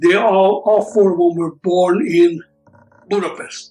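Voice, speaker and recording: Over music in the background, a man speaks at a very slow pace with a high pitch. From Hungary. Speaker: Holocaust survivor. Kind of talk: oral history interview answer.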